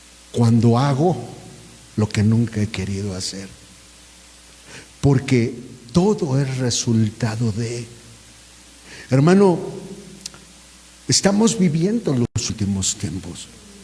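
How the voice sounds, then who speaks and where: Over noticeable background noise, a medium-pitched man talks at a very slow pace with very wide pitch swings and long, frequent pauses. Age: 60s. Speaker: pastor. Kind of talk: sermon.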